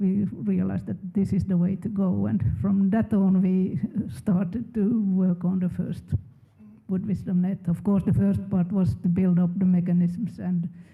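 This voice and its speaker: The speaker talks at a moderate pace in a Swedish accent. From Finland. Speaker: research funding program manager. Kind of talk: panel discussion.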